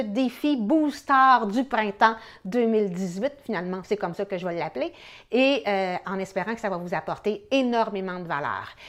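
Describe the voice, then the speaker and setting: A woman talks at a medium pitch and moderate pace with lively intonation. The background is quiet. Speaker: real estate coach. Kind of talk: motivational video talk to viewers. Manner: hesitant with many fillers.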